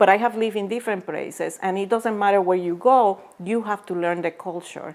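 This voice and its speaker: On a very clean recording with a silent background, a woman with a Puerto Rican accent speaks at a fairly quick pace with fairly even intonation. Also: medium pitch for a woman. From Puerto Rico. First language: Spanish. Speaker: former biotech executive and author. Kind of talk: interview. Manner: hesitant, many fillers.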